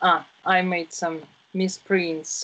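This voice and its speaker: A woman's fairly low voice with a Russian accent. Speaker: English teacher. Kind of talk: online tutoring lesson; tutoring session talk. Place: home room. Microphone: video call.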